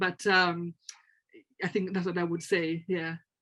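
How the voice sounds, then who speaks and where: At a moderate pace, a woman speaks with a Tanzanian accent. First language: Swahili. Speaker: translator and lecturer. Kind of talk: panel discussion. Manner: halting, many repetitions.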